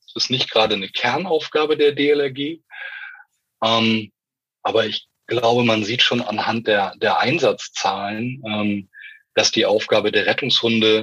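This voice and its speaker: In a bright, sharp tone, a man with medium pitch speaks at a fairly slow pace. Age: 40s. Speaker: rescue dog handler. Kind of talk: interview.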